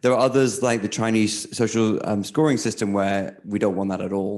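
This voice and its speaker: A man talks at a fairly quick pace in a normal speaking voice. His pitch is fairly low, with ordinary variation. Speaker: technology journalist. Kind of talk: panel talk.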